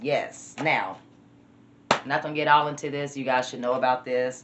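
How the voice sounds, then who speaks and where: The speaker talks at a fairly quick pace in a Southern US accent, with noticeable background noise. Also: woman. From US South. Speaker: vlogger. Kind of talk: casual vlog.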